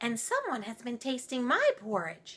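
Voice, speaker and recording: A woman speaks in a put-on character voice, pitched high. Her pace is moderate. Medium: read story. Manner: fussy, exclaiming.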